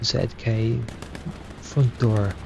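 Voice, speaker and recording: Against noticeable background noise, a soft-spoken man talks with ordinary pitch variation. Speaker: esports caster. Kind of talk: live commentary.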